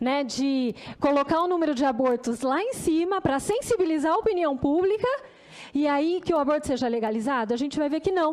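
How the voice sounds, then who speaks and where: A woman's high, lively voice at a fairly quick pace with very even loudness. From Brazil, Campinas. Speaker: dentist and public health researcher. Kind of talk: formal presentation at a hearing.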